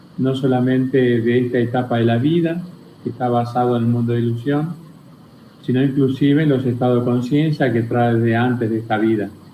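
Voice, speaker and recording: A man's medium-pitched voice at a fairly quick pace, very even in loudness and fairly even in intonation, with audible room echo. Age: 60s. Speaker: spiritual teacher. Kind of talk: interview.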